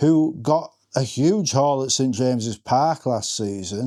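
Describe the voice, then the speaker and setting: A man's fairly high yet dark, mellow voice with an English accent, in a very clean recording with a silent background. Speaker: fantasy football content creator. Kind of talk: reaction vlog. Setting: home front room. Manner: stumbling over words.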